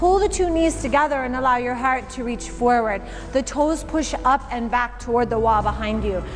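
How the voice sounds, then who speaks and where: A woman speaks at a moderate pace with an American accent. Noticeable background noise is present. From Michigan, US. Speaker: yoga teacher. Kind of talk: guided yoga class instruction. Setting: yoga studio with class. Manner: calm, encouraging, rhythmic cueing.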